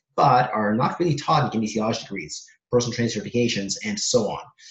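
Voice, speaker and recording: A man talks very fast in a somewhat breathy, medium-pitched voice. His pitch varies in an ordinary way. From Soviet Union (Kazakhstan), Israel, then Canada from age ten. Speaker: personal trainer and fitness author. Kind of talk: podcast interview.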